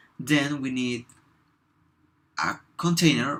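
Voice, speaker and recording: A man with a Spanish accent, bright and sharp in tone, at a very slow pace. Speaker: software developer. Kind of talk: tutorial. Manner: halting, with fillers.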